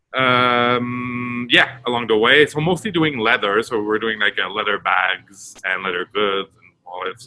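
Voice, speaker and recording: A man speaks with a Quebec accent. His pitch sits fairly low. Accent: French Canadian accent in English. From Quebec, Montreal. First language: French. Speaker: retail director. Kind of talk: interview. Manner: halting, many fillers.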